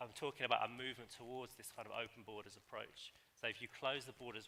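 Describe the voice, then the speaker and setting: A man in a British accent, medium-pitched, bright and sharp in tone, with monotone, flat intonation at a fairly quick pace. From UK. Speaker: academic panelist. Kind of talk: panel discussion.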